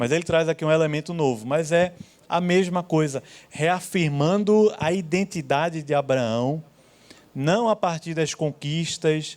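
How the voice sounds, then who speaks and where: There's ordinary pitch variation in this man's fairly high voice. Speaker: Bible teacher. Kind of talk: Bible class lecture. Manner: slow; conversational.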